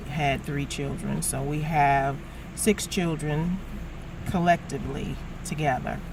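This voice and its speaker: In an American accent, a woman speaks at a very slow pace. Audible room echo and noticeable background noise are present. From New York City (the Bronx). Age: 50s. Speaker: travel vlogger and small business owner. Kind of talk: casual vlog talk to camera. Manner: conversational with many fillers (uh, um).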